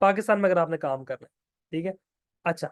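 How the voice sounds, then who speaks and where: The sound is dry and close with no echo as a man talks at a high pitch. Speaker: online course instructor. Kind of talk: lecture. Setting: online class with screen share. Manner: speaking louder than usual.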